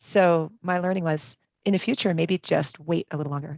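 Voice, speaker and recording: In an American accent, a woman uses a plain, everyday voice with fairly low pitch at a fairly quick pace. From US Northeast. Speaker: workshop participant. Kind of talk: casual group discussion.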